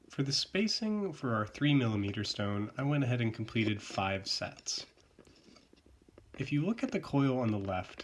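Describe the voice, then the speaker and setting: A man's medium-pitched voice with very wide pitch swings at a moderate pace, amid noticeable background noise. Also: long, frequent pauses. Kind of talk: craft tutorial narration.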